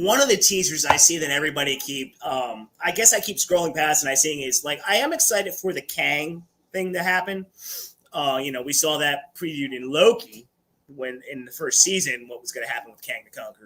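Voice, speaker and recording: A man with a fairly high pitch and a bright, sharp tone speaks at a moderate pace. His animated tone comes with big swings in loudness. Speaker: livestream host. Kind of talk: casual live chat. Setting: livestream.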